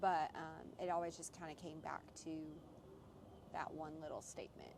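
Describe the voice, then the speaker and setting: At a moderate pace, the speaker is soft-spoken. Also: woman. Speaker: podcast co-host. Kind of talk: casual chat. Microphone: too quiet.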